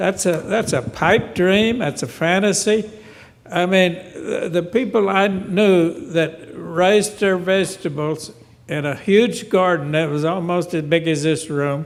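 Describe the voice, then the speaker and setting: A man speaks at a high pitch with ordinary pitch variation. His pace is fairly slow. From western North Carolina. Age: 80s+. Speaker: audience member. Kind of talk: Q&A comment. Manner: halting.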